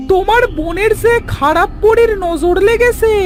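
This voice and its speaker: An extremely high-pitched, cartoonish character voice is heard. Loud music plays in the background. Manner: warm, friendly.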